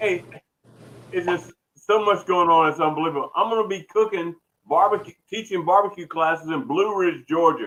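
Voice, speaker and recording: A man with a Southern US accent speaks at a moderate pace in a high pitch. He leaves long, frequent pauses. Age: 60s. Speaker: barbecue cook. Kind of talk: casual chat. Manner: animated.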